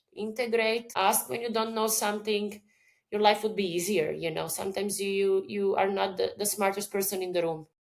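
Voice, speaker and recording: A woman with a Croatian accent, talking at a fairly quick pace. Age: 30s. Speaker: business owner and mental health advocate. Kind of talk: podcast interview.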